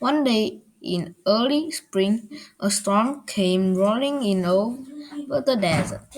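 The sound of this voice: At a slow pace, a woman speaks in a fairly high pitch with lively intonation.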